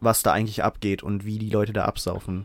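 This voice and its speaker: This man's intonation holds fairly even. He talks at a moderate pace. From southern England. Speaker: podcast co-host. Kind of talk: casual chat.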